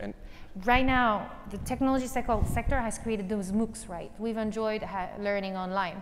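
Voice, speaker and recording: With light background noise, a woman speaks in a fairly high pitch with a French accent. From northern France, near Calais; northern France. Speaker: nonprofit tech founder; conference speaker. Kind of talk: conference keynote. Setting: stage with audience. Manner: animated. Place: stage. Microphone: lapel.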